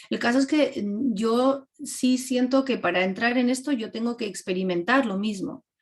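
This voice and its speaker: A woman speaks at a high pitch and a moderate pace, with hardly any pauses. Her pitch variation is ordinary. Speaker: filmmaker. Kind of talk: class Q&A talk. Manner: animated.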